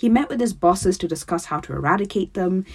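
A woman's medium-pitched, somewhat breathy voice with lively intonation. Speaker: podcast host. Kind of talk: scripted narration; casual chat. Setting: home closet studio.

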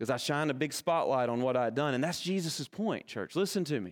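With a Kentucky accent and lively intonation, a man talks at a fairly quick pace on a very clean recording with a silent background. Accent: Kentucky Southern American. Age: 40s. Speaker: pastor. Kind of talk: sermon. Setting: church.

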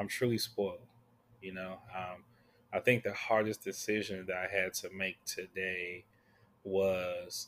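In a relaxed tone, a man with a very deep, low pitch speaks in monotone, flat intonation at a fairly slow pace, with long, frequent pauses. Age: 30s. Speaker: podcast host and ministry leader. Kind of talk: casual monologue. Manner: relaxed, many fillers.

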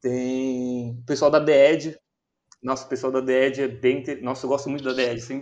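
A man speaks fairly slowly at medium pitch. His intonation is monotone and flat. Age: 20s. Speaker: DJ and music producer, university student. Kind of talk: casual chat.

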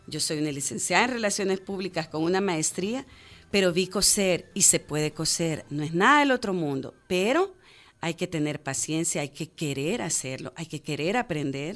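This woman has a plain, everyday voice, fairly low in pitch, with lively intonation at a moderate pace on a very clean recording with a silent background. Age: 40s. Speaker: sustainable fashion entrepreneur. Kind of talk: radio interview. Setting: radio studio.

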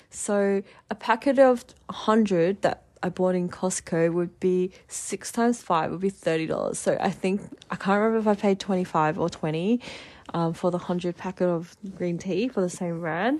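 A woman with an Australian accent at medium pitch, moderate pace, and ordinary pitch variation. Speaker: podcast host. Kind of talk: casual monologue.

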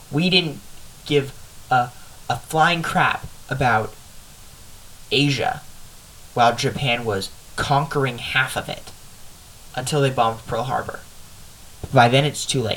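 With noticeable background noise, a man of medium pitch speaks with long, frequent pauses. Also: ordinary pitch variation. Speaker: podcast host. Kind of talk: casual chat. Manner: halting.

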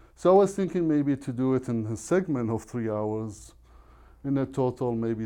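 A man's dark, mellow tone unfolds at a fairly slow pace.

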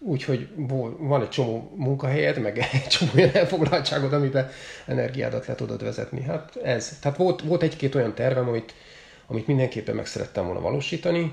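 Speaking at a very fast pace, a man with a medium pitch and ordinary pitch variation is heard over noticeable background noise. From Hungary, Makó near Szeged. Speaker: triathlete. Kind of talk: casual chat. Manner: halting, many repeated words.

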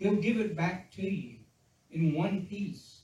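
There is audible room echo as a man with a high pitch for a man speaks at a very slow pace with ordinary pitch variation. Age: 60s. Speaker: pastor. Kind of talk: sermon. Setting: church. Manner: halting.

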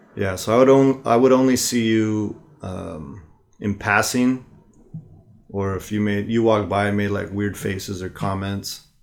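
A man with an American accent speaks at a moderate pace, his fairly low pitch showing ordinary variation, in an ordinary speaking voice. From US West Coast. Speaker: podcast co-host. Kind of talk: casual chat.

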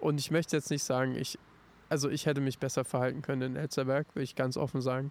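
A man's medium-pitched voice, very fast, with monotone, flat intonation. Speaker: podcast co-host and musician. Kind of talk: casual chat. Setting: outdoors in a park.

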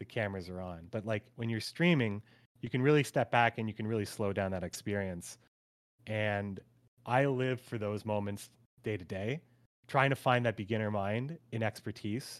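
A man's plain, everyday voice, fairly low in pitch, with ordinary pitch variation at a moderate pace on a very clean recording against a silent background. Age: 30s. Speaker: gamer and streamer. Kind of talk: casual chat.

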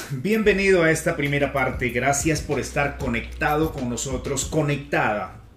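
Talking at a moderate pace with hardly any pauses, a man has a plain, everyday voice, fairly high in pitch with ordinary pitch variation. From Peru. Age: 50s. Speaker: podcast host, communication coach. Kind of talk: motivational talk.

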